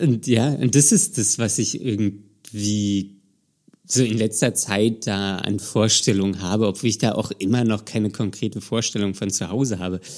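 On a very clean recording with a silent background, a man speaks at a moderate pace in a fairly low voice with fairly even intonation. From Germany, Berlin. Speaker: podcast host. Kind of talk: casual chat.

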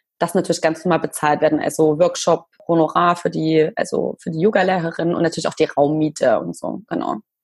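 A woman with an unremarkable speaking voice talks at a fairly quick pace. Her pitch is fairly low and her intonation fairly even. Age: 30s. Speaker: blogger. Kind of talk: interview.

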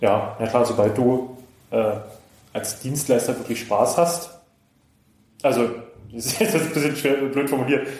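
The speech moves at a fairly slow pace with long, frequent pauses, and the room echo is audible. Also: man, medium pitch for a man, ordinary pitch variation. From Brandenburg, eastern Germany (Cottbus). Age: 30s. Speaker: wedding DJ and musician. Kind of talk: casual interview.

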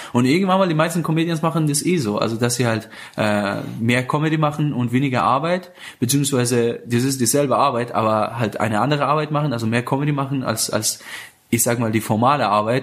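A man at medium pitch, very fast, with very even loudness and ordinary pitch variation. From Iran, Afghan family. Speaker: stand-up comedian and show host. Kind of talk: casual interview. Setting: living room, portable recorder.

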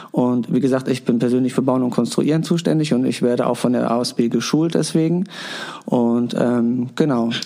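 A man's medium-pitched voice at a moderate pace, with ordinary pitch variation, very even loudness and noticeable background noise. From Hamburg-Wilhelmsburg. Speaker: daycare educator. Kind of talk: interview.

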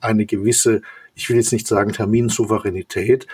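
Somewhat breathy, a man with a medium pitch talks at a moderate pace. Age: 60s. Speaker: company executive. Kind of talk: interview. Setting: video call.

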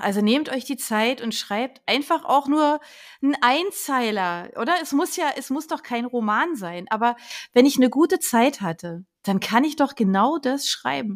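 A woman's high-pitched voice with lively intonation, in a very clean recording with a silent background. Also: fairly slow pace. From Berlin. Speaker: podcast host. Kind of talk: casual chat.

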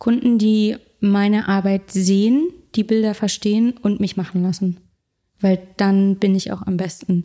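A woman talks at a fairly slow pace and a medium pitch, with fairly even intonation. Hers is an ordinary speaking voice. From Berlin, Germany. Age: 20s. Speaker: food photographer. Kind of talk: casual interview.

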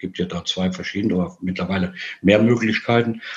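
Fairly low in pitch, this man has a normal speaking voice with ordinary pitch variation. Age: 50s. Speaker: amputee with leg prosthesis. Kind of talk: casual interview.

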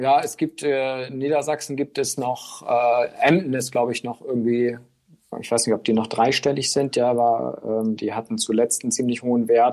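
Moderate-paced speech from a man, medium in pitch, with fairly even intonation. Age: 40s. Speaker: newspaper reporter. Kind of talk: casual interview. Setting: remote call. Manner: hesitant with fillers.

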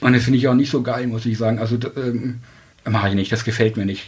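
Against noticeable background noise, a man speaks at medium pitch with fairly even intonation. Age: 40s. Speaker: dating podcast guest. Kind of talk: casual interview.

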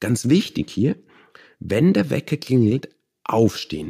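A man with a Bavarian accent speaks at a medium pitch in a dark, mellow tone, with vocal fry and very wide pitch swings. The sound is dry and close, with no echo. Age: 30s. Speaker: meditation teacher. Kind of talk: interview.

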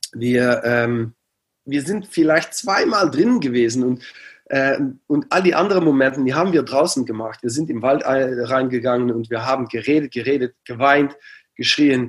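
A man with a Dutch accent, medium pitch and a moderate pace. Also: ordinary pitch variation. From Netherlands, near Aachen. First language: Dutch (speaking German). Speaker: coach and psychologist. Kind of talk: interview. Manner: halting.

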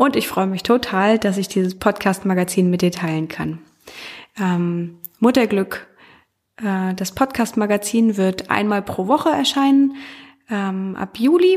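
Long, frequent pauses break up fairly slow speech whose pitch varies in an ordinary way. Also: woman, medium pitch for a woman. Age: 30s. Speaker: podcast host. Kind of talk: solo podcast monologue. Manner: hesitant with many fillers.

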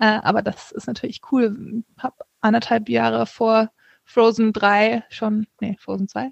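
With an ordinary speaking voice, a woman talks in a fairly high pitch using fairly even intonation. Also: fairly slow pace, big swings in loudness, dry, close sound with no echo. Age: 30s. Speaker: author. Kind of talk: interview.

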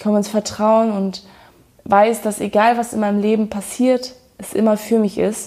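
This woman speaks with a fairly high pitch in a dark, mellow tone. Her intonation stays flat and monotone, her loudness swings widely, and her pace is moderate. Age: 30s. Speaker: podcast host. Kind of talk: personal monologue.

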